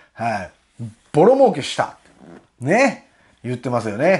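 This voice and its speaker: A man speaks in a Kansai accent at a moderate pace. The background is quiet. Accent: Kansai Japanese. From Japan. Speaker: political commentary YouTuber and butcher; online commentator. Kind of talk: monologue commentary. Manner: frequent fillers, rhetorical tags. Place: home room.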